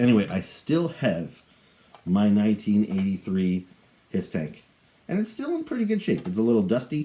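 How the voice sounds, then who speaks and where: The speaker is a man. His tone is dark and mellow. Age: 40s. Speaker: toy collector YouTuber. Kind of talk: product review and unboxing. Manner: casual, conversational.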